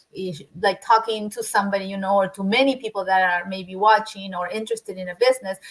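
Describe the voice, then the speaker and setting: Somewhat breathy and in a Spanish accent, the voice rushes at a very fast pace with fairly even intonation and big swings in loudness. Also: woman, medium pitch for a woman. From Argentina. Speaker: business owner, former construction worker. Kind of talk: interview. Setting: livestream. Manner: halting, many repeated words.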